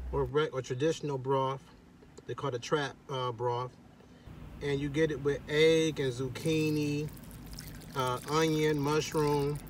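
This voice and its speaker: Somewhat breathy and monotone, a man speaks at a fairly slow pace in a dry sound with no echo, with light background noise. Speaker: food reviewer. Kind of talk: casual food review vlog. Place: car. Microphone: phone near.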